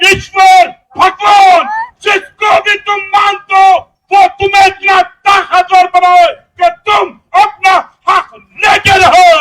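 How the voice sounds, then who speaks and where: A man shouts at an extremely high pitch while crowd noise carries in the background. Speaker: rally speaker. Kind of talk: political speech. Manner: fiery.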